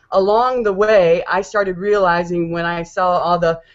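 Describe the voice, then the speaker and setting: A woman with an American accent, a medium pitch and fairly even intonation. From Detroit, US Midwest. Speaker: network marketing team member. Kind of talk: personal testimony on video hangout. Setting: online video hangout. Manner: fast.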